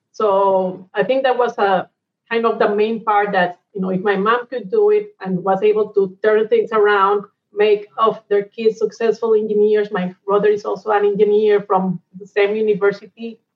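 A woman speaks in a Colombian accent at a medium pitch. Her intonation is monotone and flat, her pace moderate. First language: Spanish. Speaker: energy company executive. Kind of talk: interview.

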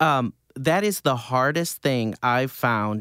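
At a very slow pace, a man talks in a medium pitch, the sound dry and close with no echo. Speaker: podcast host. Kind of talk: casual interview. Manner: animated.

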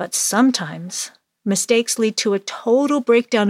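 A woman speaks in an ordinary speaking voice at a moderate pace. Her pitch varies in an ordinary way, and the sound is dry and close with no echo. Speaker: English teacher podcaster. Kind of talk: storytelling lesson.

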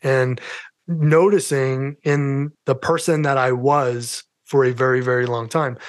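With a New York accent, a man speaks at a fairly high pitch with ordinary pitch variation against a quiet background. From New York City. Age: 50s. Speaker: mental health advocate and podcaster. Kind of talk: casual interview chat, personal testimony.

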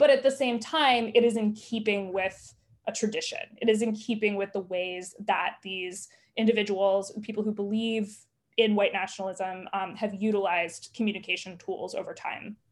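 A woman with an American accent speaks in a plain, everyday voice at medium pitch and a moderate pace, with fairly even intonation. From US South. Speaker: journalist and author. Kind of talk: interview.

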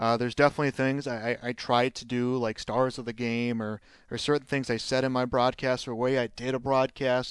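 Using a plain, everyday voice with an American accent, a man speaks at a moderate pace and medium pitch in a dry, close sound with no echo. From Chicago, north side. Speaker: sports play-by-play broadcaster. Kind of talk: casual chat. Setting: hotel room.

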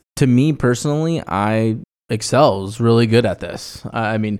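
An unremarkable speaking voice from a man at medium pitch, with ordinary pitch variation, on a very clean recording with a silent background. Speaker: financial planner, podcast co-host. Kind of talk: casual chat about personal finance.

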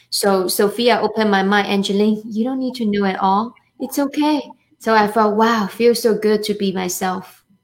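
Music can be heard behind the voice. The talking goes at a medium speed. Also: woman, fairly high pitch for a woman, fairly even intonation. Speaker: co-host. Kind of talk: interview.

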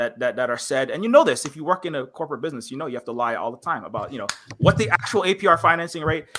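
Speaking at a very fast pace in a Hawaiian accent, a man with a fairly high pitch uses lively intonation and big swings in loudness. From Hawaii, Honolulu (Kalihi). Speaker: streamer and indie game developer. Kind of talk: casual interview on live stream. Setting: online live stream. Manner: animated, rapid ranting; halting with many repetitions.

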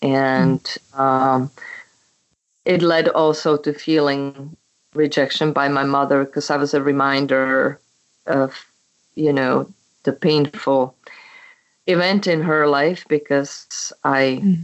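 A woman with a very deep, low pitch speaks at a very slow pace with long, frequent pauses, fairly even intonation and very even loudness. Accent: Czech. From Czechoslovakia. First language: Czech. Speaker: memoir author. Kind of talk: casual interview chat. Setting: phone call.

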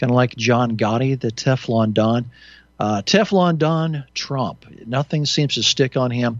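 Against a quiet background, a man with a plain, everyday voice speaks at a fairly slow pace, medium pitch and ordinary pitch variation. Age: 60s. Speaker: talk radio host. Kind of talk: call-in radio show.

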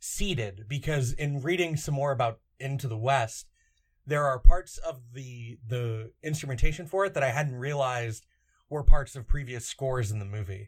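Somewhat breathy, a man speaks at a moderate pace in a medium pitch with ordinary pitch variation and big swings in loudness. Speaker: podcast host. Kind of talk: casual chat.

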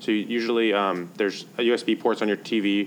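A man speaks here. His intonation is flat and monotone. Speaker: podcast co-host, educator. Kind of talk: casual tech podcast chat. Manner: uses frequent filler words.

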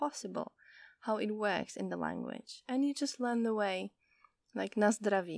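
A woman's fairly high voice in a Czech accent, on a very clean recording with a silent background. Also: dry, close sound with no echo. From Czech Republic. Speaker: podcast host and Czech language tutor. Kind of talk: casual solo podcast monologue. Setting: outdoors in a garden. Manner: frequent laughter.

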